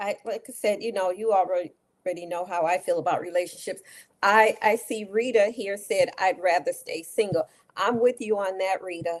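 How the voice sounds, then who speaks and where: A woman's unremarkable speaking voice, medium in pitch, with fairly even intonation at a moderate pace. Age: 60s. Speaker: talk show co-host. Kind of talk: casual chat.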